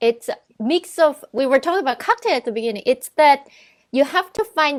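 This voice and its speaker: A woman speaks with a non-native accent and lively intonation. The sound is dry and close with no echo, on a very clean recording with a silent background. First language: not English. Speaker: arts organization director and musician. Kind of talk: casual chat. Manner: halting.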